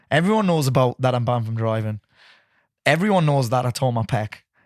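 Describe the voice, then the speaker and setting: A man with a Geordie accent talks at a very fast pace and a medium pitch. His tone is animated, his intonation is lively, and the recording is very clean with a silent background. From northeast England, Newcastle area. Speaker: business coach. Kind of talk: casual chat.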